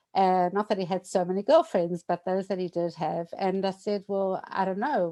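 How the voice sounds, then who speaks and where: A dark, mellow tone is heard against a quiet background. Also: woman. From South Africa, Durban. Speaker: bereaved widow telling her story. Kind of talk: personal testimony. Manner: hesitant, many fillers.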